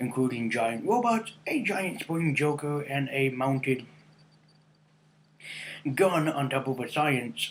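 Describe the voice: A man talks at a slow pace with lively intonation. He leaves long, frequent pauses. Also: medium pitch for a man.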